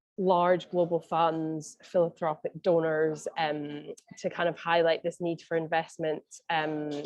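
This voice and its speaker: Speaking with a Scottish accent, a woman talks at a fairly slow pace with a fairly low pitch and monotone, flat intonation. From Scotland. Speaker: mental health advocacy advisor. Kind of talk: online meeting presentation. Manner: hesitant, many fillers.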